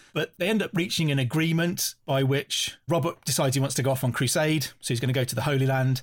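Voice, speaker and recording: A man talks at a very fast pace in a fairly high pitch. His voice is somewhat breathy, with ordinary pitch variation. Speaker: historian. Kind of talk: casual chat.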